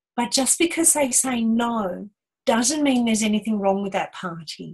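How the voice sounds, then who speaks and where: This woman's voice carries a somewhat breathy sound. Her pitch is fairly high. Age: 60s. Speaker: spiritual teacher, angel medium. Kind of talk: casual talk show teaching.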